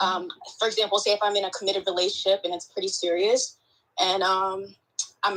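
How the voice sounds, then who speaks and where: A woman with a Boston accent at a very fast pace. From Boston, US. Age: 20s. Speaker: caller. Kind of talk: casual chat.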